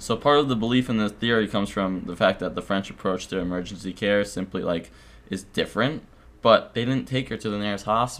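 Speaking fast-ish in an unremarkable speaking voice, a man keeps a fairly low pitch, a fairly quick pace and ordinary pitch variation. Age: 20s. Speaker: podcast host. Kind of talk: casual chat.

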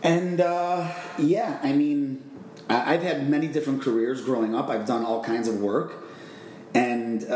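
The room echo is audible, and there is noticeable background noise. Over it, a man with an American accent speaks with lively intonation. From Chicago, Illinois. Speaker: vacation rental owner. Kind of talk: interview.

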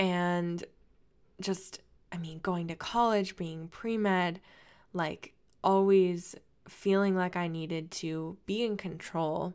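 Heard on a very clean recording with a silent background, a woman speaks at a fairly low pitch and a very slow pace, with fairly even intonation and long, frequent pauses. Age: 20s. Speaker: dancer and personal trainer podcast host. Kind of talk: solo podcast monologue. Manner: casual, chatty with frequent fillers.

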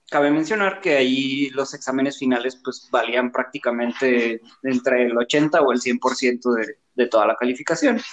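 At a fairly slow pace with hardly any pauses, a man talks in an unremarkable speaking voice at medium pitch with ordinary pitch variation. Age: 30s. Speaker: podcast guest, designer. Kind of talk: casual chat. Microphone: cutting out, too far from mic.

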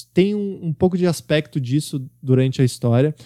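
A man's dark, mellow voice at a fairly high pitch with ordinary variation and a moderate pace, dry and close with no echo, on a very clean recording with a silent background. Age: 20s. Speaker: podcast host. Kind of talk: book review monologue.

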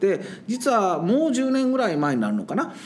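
This man's voice shows very wide pitch swings. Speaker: science teacher. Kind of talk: casual interview chat. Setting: sharing one microphone in a studio. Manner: laughs often.

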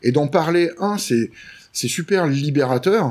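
With lively intonation, a man talks in a fairly high pitch. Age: 40s. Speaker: video maker and YouTuber. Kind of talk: casual chat. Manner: animated.

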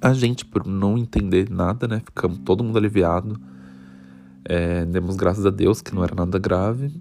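Fairly low in pitch with ordinary variation, a man's dark, mellow tone moves at a moderate pace. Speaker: student podcast host. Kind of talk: personal storytelling.

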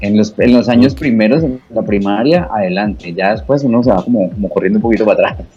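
A man talks at a very fast clip with hardly any pauses, his fairly low voice moving in lively intonation. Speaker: radio host and station director. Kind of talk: casual interview chat. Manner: fluent.

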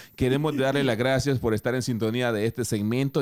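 The recording is very clean, with a silent background. A man speaks in an animated tone. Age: 30s. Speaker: radio host. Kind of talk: casual chat.

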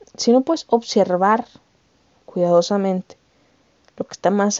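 A woman talks with a Mexican accent at a fairly slow pace. Her pitch sits in the medium range. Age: 20s. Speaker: podcast host. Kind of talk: casual monologue. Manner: animated.

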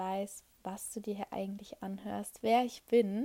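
Ordinary pitch variation in a woman's dark, mellow tone. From Germany, Hannover. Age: 20s. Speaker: podcast host, network marketing entrepreneur. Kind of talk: solo monologue, personal story. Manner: frequent filler hesitations.

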